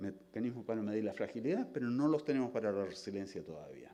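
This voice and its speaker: A man with a medium pitch and a dark, mellow tone speaks at a fairly quick pace with hardly any pauses and ordinary pitch variation. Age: 60s. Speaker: scientist. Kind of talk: lecture.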